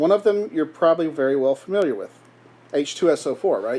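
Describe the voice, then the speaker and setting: The man's voice is high in pitch with a dark, mellow tone. He talks at a fairly quick pace. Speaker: chemistry teacher. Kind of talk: lecture. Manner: occasional awkward pauses.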